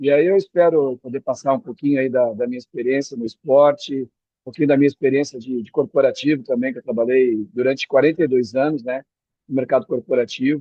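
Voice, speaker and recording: With fairly even intonation, a man talks fairly quickly at a medium pitch. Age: 60s. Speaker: retired executive, beach tennis coach. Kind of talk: podcast interview. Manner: halting, with repetitions.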